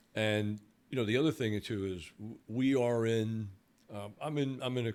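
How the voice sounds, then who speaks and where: Speaking in a Brooklyn accent, a man keeps a moderate pace, a medium pitch, and fairly even intonation. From New York, Brooklyn. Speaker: security company owner. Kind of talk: podcast interview. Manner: halting, many repeated words.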